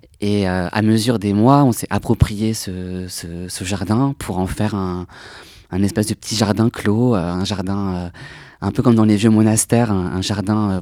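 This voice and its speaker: The tone is dark and mellow, with fairly even intonation at a moderate pace. It is a very clean recording with a silent background. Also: man. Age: 20s. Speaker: archive association volunteer. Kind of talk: panel discussion.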